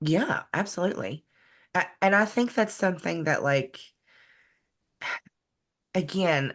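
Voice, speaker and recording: In a Southern US accent, a woman with a medium pitch speaks at a fairly slow pace with lively intonation and very even loudness. Long, frequent pauses fall against a quiet background. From West Virginia. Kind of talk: podcast interview answer.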